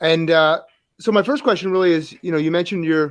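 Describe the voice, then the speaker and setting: With a New Jersey accent, a man talks at a fairly quick pace and fairly high pitch against a quiet background. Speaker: hockey coach, podcast co-host. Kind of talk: podcast interview.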